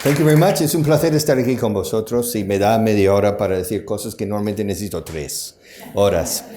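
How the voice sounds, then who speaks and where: Over noticeable background noise and audible room echo, a man with a fairly low pitch talks at a fairly quick pace with lively intonation. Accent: strong non-native. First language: English (speaking Spanish). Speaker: conference speaker, language school founder. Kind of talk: conference talk. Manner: animated.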